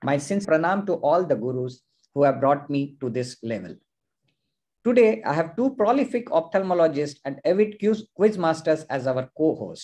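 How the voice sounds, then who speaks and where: Over a quiet background, a man's dark, mellow voice moves at a moderate pace through very wide pitch swings. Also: fairly high pitch for a man. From India. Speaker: ophthalmologist and quiz host. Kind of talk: live online quiz hosting. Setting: video call. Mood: respectful, warm. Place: home room. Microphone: video call.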